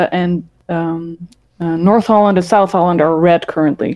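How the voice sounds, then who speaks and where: Speaking with a Dutch accent, a woman keeps a medium pitch, a moderate pace and fairly even intonation. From Netherlands, Rotterdam. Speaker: former podcast host. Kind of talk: casual chat.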